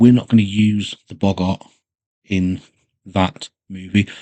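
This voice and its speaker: In a West Country accent, a man speaks with a dark, mellow tone at fairly low pitch. His intonation stays fairly even against a quiet background. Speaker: gaming YouTuber. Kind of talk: casual commentary. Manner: relaxed, with fillers.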